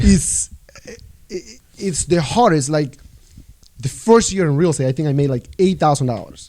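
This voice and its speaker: A man speaks at a moderate pace with lively intonation. His fairly high voice has a dark, mellow tone. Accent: Spanish. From El Salvador. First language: Spanish. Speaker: real estate agent. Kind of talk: casual chat.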